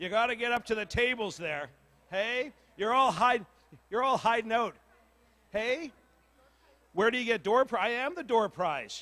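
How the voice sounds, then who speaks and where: Using a raised, projected voice, a man speaks at a moderate pace in an extremely high pitch. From northern Manitoba, Cree community. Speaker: community meeting facilitator. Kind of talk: casual public address at community meeting. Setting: community hall with audience, PA microphone. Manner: loud; animated, joking.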